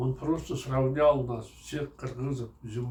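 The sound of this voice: Intonation remains fairly even. The delivery is an unforced reading voice.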